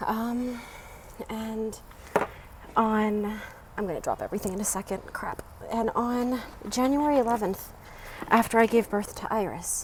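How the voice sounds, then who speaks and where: A quiet woman with an American accent speaks at a fairly high pitch with fairly even intonation, leaving long, frequent pauses. Noticeable background noise runs underneath. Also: fairly slow pace. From Baltimore, US. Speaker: vlogger. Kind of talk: live stream monologue. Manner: quiet, hushed.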